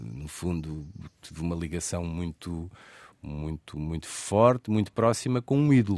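On a very clean recording with a silent background, a man with a very deep, low pitch speaks at a fairly slow pace, with lively intonation and big swings in loudness. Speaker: radio host. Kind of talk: interview. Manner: calm.

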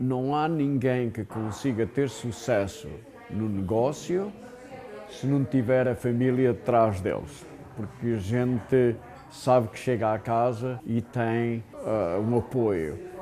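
Over noticeable background noise, a man at medium pitch talks at a very slow pace with ordinary pitch variation. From Portugal. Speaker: businessman and wine producer. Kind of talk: interview.

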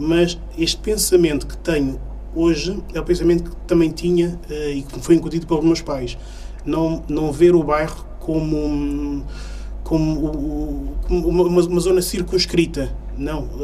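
There is noticeable background noise and audible room echo as a man talks at a fairly slow pace. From Portugal, Lisbon area (Oeiras), Cape Verdean parents. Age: 40s. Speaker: community activist and local politician. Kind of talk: radio interview.

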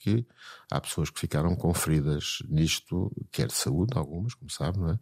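A man's very deep, low voice, dry and close with no echo, on a very clean recording against a silent background. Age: 70s. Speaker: psychiatrist. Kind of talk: interview. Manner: halting, repeats words.

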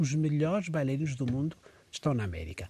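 A dark, mellow, somewhat breathy tone with lively intonation at a fairly quick pace, in a very clean recording with a silent background. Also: man. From Mozambique. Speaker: dancer and choreographer. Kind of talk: casual chat.

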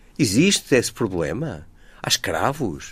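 A man's medium-pitched voice with vocal fry on a very clean recording against a silent background. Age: 70s. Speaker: historian and author. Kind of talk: interview.

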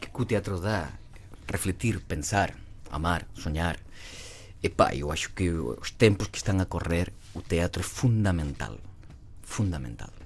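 A man's very deep, low voice with vocal fry and lively intonation, at a fairly slow pace with long, frequent pauses. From southern Spain, Cádiz. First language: Spanish (speaking Portuguese). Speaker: actor. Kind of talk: casual chat. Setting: studio.

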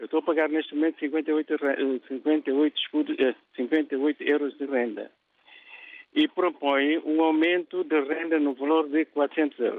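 Very slow speech comes from a man with a fairly high pitch. His intonation is monotone and flat. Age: 70s. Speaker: radio caller. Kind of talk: phone-in question. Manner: halting, repeats words.

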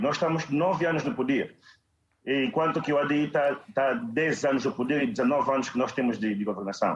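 Here is a man with a normal speaking voice and a fairly high pitch. He talks at a fairly quick pace, his loudness very even. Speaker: campaign director. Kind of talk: televised political debate. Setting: video call.

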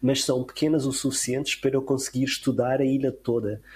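Here a man speaks at a medium pitch, sounding somewhat breathy. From Madeira, Portugal (Funchal). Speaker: conservation biologist. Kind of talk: interview.

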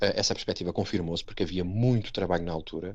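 Over a quiet background, a man with a European Portuguese accent talks at a very fast pace. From Portugal, Setúbal. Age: 40s. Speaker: Portuguese emigrant interviewee. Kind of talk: interview. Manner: halting, many repetitions.

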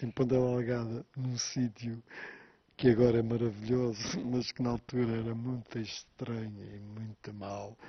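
Flat, monotone intonation marks this delivery. There is a somewhat breathy quality to it. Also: man. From Azores, Pico island. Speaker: writer. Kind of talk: interview. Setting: on location on Pico island. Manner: halting, with frequent repetitions and fillers.

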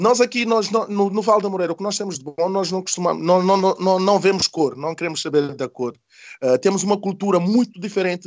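A man speaks at a high pitch and a fairly quick pace. His pitch varies in an ordinary way. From Senegal (Casamance). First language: not Portuguese; learned it as adult (speaking Portuguese). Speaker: community activist and mediator. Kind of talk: interview conversation. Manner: halting, repeating words.

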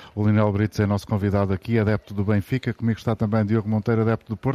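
This man speaks at a fairly low pitch with a dark, mellow tone, and the sound is dry and close with no echo. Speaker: radio host. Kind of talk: live radio discussion. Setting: live broadcast on location at a polytechnic.

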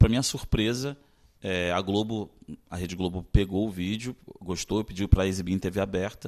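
In a very clean recording with a silent background, a man with an unremarkable speaking voice talks at a moderate pace, fairly low in pitch and with fairly even intonation. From Brazil, Maranhão, raised in Rio de Janeiro. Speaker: actor and director. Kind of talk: interview.

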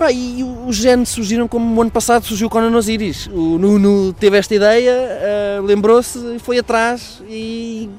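Speaking at an extremely high pitch, a man talks at a fairly slow pace with fairly even intonation. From Portugal, Coimbra.

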